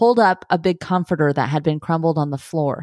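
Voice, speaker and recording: A woman with a fairly low pitch and a normal speaking voice talks at a moderate pace on a very clean recording with a silent background. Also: dry, close sound with no echo. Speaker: true crime podcast host. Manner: measured, storytelling; serious, somber.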